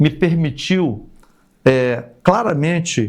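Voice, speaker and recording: A man's very slow delivery with lively intonation. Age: 60s. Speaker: retired army colonel and politician. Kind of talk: podcast interview.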